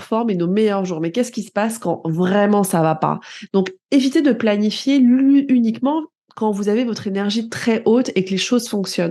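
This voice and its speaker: A woman's dark, mellow voice, fairly high in pitch, with lively intonation, a moderate pace and a quiet background. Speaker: personal development coach and podcaster. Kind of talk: solo podcast monologue. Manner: conversational, some self-corrections.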